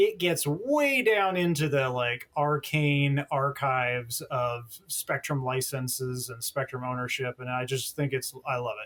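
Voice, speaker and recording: Against noticeable background noise, a man with a fairly high pitch talks fairly slowly with hardly any pauses and ordinary pitch variation. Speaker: telecom journalist. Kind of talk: podcast interview. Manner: animated.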